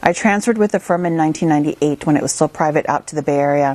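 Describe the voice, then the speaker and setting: A woman talks at a very fast pace in a very deep, low pitch, the sound dry and close with no echo. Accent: American. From US Midwest, small-town Minnesota. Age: 30s. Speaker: investor and entrepreneur. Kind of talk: interview.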